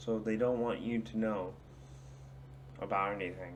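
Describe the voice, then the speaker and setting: His voice carries audible room echo. The speaker is a man. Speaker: small youtuber giving opinions. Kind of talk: casual rant to camera. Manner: slurred, drunken-sounding speech; hesitant, many fillers.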